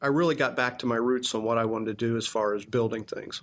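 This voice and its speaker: A man with an American accent talks at a very fast pace. His medium-pitched voice keeps a fairly even intonation. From US Midwest, Indiana (Lebanon, near Indianapolis). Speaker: construction company CEO. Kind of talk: interview conversation.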